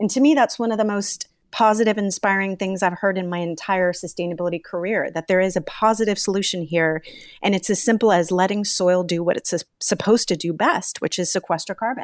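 A woman with a plain, everyday voice and a medium pitch talks at a fairly quick pace with ordinary pitch variation, in dry, close sound with no echo. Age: 40s. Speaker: environmental nonprofit co-founder. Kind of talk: interview conversation.

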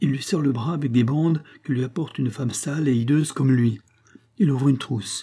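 Heard here is a natural reading voice carrying ordinary pitch variation.

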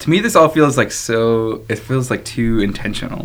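This man has an ordinary speaking voice at a medium pitch. He talks at a moderate pace. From Chicago. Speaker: podcast host on dating. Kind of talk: casual chat.

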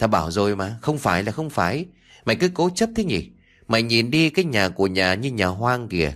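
Reading done in a natural voice

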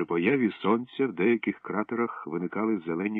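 Ordinary pitch variation runs through the speech. The delivery is an unforced reading voice.

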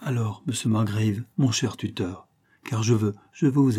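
Natural voice for reading

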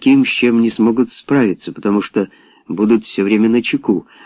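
A natural reading voice, with pitch shifting in an ordinary way

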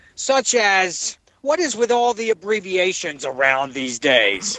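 A man with an American accent speaks at a high pitch. His voice is raised and projected. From New Jersey. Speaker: listener calling in. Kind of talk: comedic voicemail monologue. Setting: phone message.

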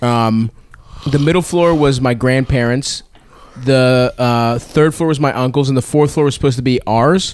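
A man with a plain, everyday voice and an American accent, at medium pitch and moderate pace, with fairly even intonation and very even loudness. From Baltimore, US. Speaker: comedian podcast co-host. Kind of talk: casual chat.

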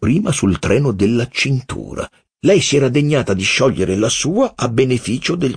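With lively intonation, a speaker reads aloud in a natural voice, the background quiet.

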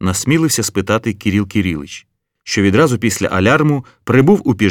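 In a quiet background, someone reads aloud in a natural voice with lively intonation.

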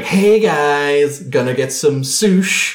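A man does a put-on character voice at a fairly high pitch. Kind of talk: casual, slangy.

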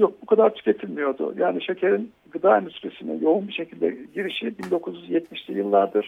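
A man of medium pitch talks at a moderate pace with very wide pitch swings and hardly any pauses. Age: old. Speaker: food science expert on radio show. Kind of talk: radio talk, explanatory. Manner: halting, many fillers.

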